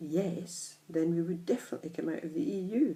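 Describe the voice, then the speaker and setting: A woman's fairly low, somewhat breathy voice with a dark, mellow tone, ordinary pitch variation and a fairly quick pace. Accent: Scottish. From Scotland, Edinburgh. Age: 60s. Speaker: vlogger. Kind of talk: personal opinion monologue.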